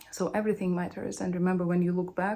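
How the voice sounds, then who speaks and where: A woman with a non-native accent speaks very fast at medium pitch, her tone dark and mellow and her intonation flat and monotone. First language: not English. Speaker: recruiter. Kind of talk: casual chat.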